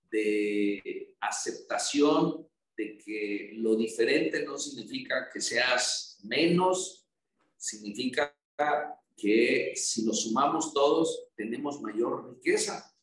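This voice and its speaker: This man talks with a Tabasco accent. His pace is very slow. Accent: Tabasco accent, noticeable. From Mexico, Tabasco. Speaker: federal congressman. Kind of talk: interview. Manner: reflective.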